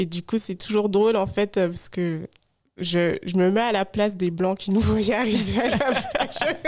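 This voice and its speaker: A woman's medium-pitched voice, with normal pitch movement, proceeds at a fairly slow rate. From France, Haute-Savoie. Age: 30s. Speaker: podcaster and digital consultant. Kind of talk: podcast interview. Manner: hesitant, many fillers.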